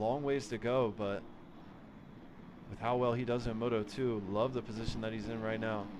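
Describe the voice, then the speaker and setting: Fairly even intonation amid audible room echo. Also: man. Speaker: esports racing commentator. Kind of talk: live commentary.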